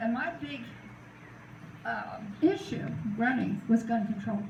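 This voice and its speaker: Someone with an American accent speaks amid noticeable background noise and audible room echo. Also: woman. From US South. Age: 80s+. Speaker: retired judge and former political candidate. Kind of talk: informal talk to a group.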